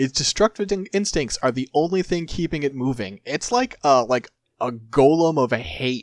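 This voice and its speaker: A man's plain, everyday voice, fairly high in pitch, with lively intonation at a moderate pace in a dry, close sound with no echo. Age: 30s. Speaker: podcast host. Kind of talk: casual banter.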